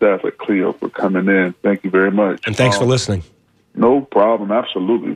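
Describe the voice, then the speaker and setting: Here is a man with an ordinary speaking voice. His pitch is fairly low, his pace moderate, and his pitch variation ordinary. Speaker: caller, rideshare driver. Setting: phone call.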